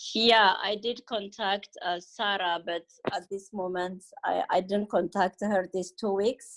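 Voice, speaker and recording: A woman with a non-native accent, medium pitch and monotone, flat intonation, in a dry, close sound with no echo. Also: fairly slow pace. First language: not English. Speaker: greenhouse owner. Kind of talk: community video meeting. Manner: halting.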